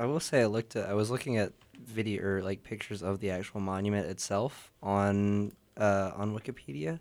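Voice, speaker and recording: A man talks at a fairly quick pace in an ordinary speaking voice, fairly low in pitch, with ordinary pitch variation. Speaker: guest poet and radio host. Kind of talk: casual chat.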